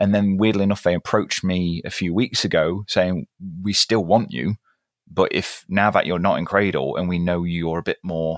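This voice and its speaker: A man speaks with a British accent, his pitch very deep and low. The intonation is fairly even, on a very clean recording with a silent background and a dry, close sound with no echo. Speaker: guitarist.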